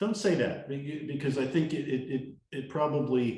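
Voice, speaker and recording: A man's somewhat breathy voice, dark and mellow in tone, at a moderate pace, with audible room echo. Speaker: leadership trainer. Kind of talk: talking-head monologue. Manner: confident, energetic.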